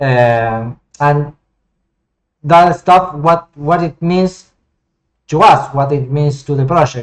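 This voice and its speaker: A man with a Spanish accent talks at a very slow pace, his pitch fairly high with ordinary variation. Long pauses come often. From Argentina. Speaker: flight sim hobbyist and 3D modeler. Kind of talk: casual gameplay commentary. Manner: halting, with many repetitions and fillers.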